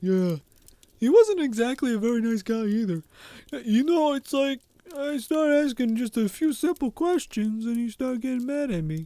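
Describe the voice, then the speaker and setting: A man's put-on character voice, extremely high in pitch, with lively intonation at a moderate pace, in a dry, close sound with no echo. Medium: actual play. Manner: casual, nonchalant.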